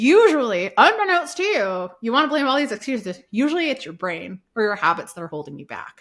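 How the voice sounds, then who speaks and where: With an American accent, a woman speaks at a fairly quick pace with hardly any pauses and an animated tone. Her fairly high pitch swings very widely, and her loudness shifts in big swings. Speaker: online business podcaster, guest expert. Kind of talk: podcast interview, casual chat. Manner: fast.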